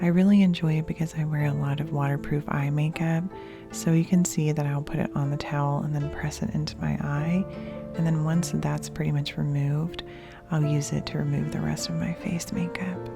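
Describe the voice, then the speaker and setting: A woman with a relaxed tone at a fairly quick pace, music playing in the background. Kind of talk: casual talk to camera. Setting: at home. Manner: soft-spoken, relaxed.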